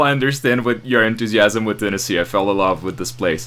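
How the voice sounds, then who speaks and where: A man talks with a Portuguese accent. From Brazil. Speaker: podcast host. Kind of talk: interview.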